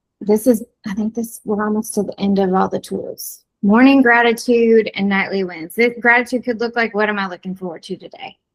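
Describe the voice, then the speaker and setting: A woman in a normal speaking voice talks at a fairly quick pace with hardly any pauses, a fairly high pitch and fairly even intonation. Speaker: ADHD coach. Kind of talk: online workshop presentation.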